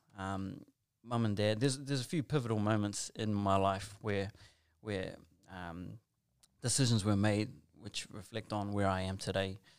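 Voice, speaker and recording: With a New Zealand accent, a man talks at a fairly low pitch and fairly even intonation. He leaves long, frequent pauses. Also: moderate pace, very clean recording, silent background. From New Zealand, South Auckland. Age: 30s. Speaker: school chaplain and youth worker. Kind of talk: casual interview.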